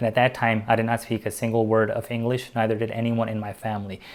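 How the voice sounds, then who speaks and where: A man with a non-native accent, medium pitch and a very fast pace. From immigrated to US at age eight. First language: not English. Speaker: YouTuber and public speaker. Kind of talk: motivational talk to camera. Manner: confident, animated.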